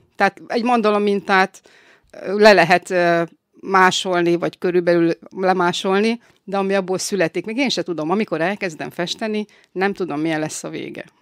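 A woman speaks at medium pitch and moderate pace with fairly even intonation, in an ordinary speaking voice. The recording is very clean and dry, close with no echo and a silent background. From northern Hungary, Salgótarján area. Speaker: violinist and glass painter. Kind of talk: interview. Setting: studio.

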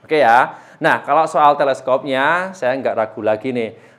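A man with an ordinary speaking voice, fairly high in pitch, fairly slow, with lively intonation. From East Java, Indonesia. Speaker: airgun seller and channel host. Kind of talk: street-seller style sales pitch, promoting a freebie package. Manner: persuasive, upbeat, urging buyers to hurry; chatty, relaxed, slightly stumbling with fillers.

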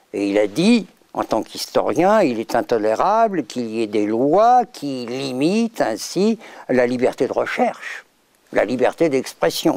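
Against a quiet background, a man speaks at a very slow pace, the sound dry with no echo. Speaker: interviewee. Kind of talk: interview answer. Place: stage.

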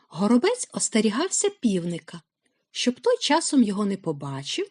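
Quiet surroundings and a natural reading voice

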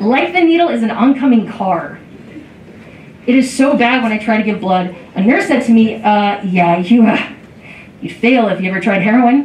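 A woman's fairly high, lively voice in audible room echo. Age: 40s. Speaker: comedian. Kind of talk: stand-up comedy, a beginner's first five-minute club set of self-deprecating jokes. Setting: stage with audience at a comedy club. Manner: slightly halting, frequent ums and uhs between bits. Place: stage.

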